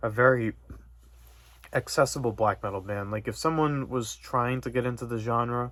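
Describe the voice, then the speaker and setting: Mumbling at a moderate pace, a man speaks with a medium pitch. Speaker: metal music YouTuber. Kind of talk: casual vlog monologue. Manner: monotone.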